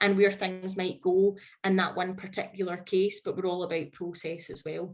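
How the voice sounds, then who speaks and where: A woman with a Scottish accent speaks at a moderate pace in a medium pitch. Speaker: HR consultant. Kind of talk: webinar presentation. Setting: online webinar.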